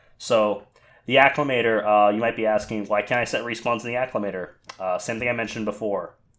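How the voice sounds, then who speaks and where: A man rattles along at a very fast pace in a medium pitch with monotone, flat intonation. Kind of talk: casual screen-recorded game editor tutorial. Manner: casual, hesitant, many filler words.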